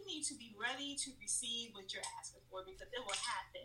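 A woman with an American accent, high-pitched and animated, her raised, projected voice making very wide pitch swings at a fairly quick pace over noticeable background noise. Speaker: nonprofit founder. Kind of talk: interview. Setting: podcast recording.

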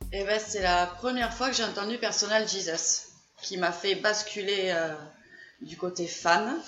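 Speech in a southern French accent comes at a fairly slow pace with ordinary pitch variation. Room echo is audible, and there is noticeable background noise. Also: woman, medium pitch for a woman. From southern France, Gers. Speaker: fan group founder. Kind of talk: casual chat.

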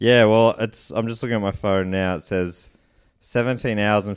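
The recording is very clean with a silent background. A man speaks in a fairly low pitch with fairly even intonation. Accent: Australian. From Australia, country Victoria. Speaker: comedian and podcaster. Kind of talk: casual chat.

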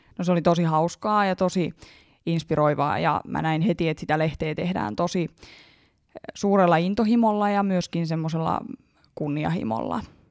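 A woman talks at a moderate pace with ordinary pitch variation, on a very clean recording with a silent background. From Hämeenlinna, Finland. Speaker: medical student and researcher. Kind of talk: interview.

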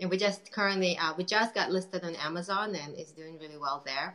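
A woman's low, fairly bright voice with fairly even intonation and a fairly quick pace.

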